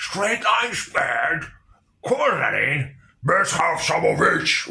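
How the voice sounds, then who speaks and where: A put-on character voice from a man, high in pitch, at a very slow pace. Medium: read story. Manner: gruff, crude slang.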